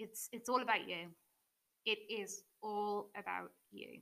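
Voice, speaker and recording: A woman with an English accent, a bright, sharp tone and medium pitch. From England. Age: 20s. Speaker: mindset coach. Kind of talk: solo podcast monologue. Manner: unscripted, with filler words and laughs.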